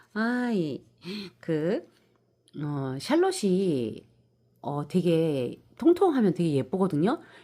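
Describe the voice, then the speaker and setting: Speaking very slowly with long, frequent pauses, a woman uses a fairly low voice with a dark, mellow tone and very wide pitch swings, in a very clean recording with a silent background. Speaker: succulent-growing YouTuber. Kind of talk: casual vlog talk and plant tutorial. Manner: hesitant, many fillers.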